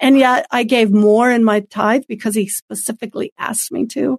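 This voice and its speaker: A normal speaking voice at a moderate pace, fairly even in intonation, with a dry, close sound and no echo. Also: woman. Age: 50s. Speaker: former radio co-host, ministry guest. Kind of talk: testimony.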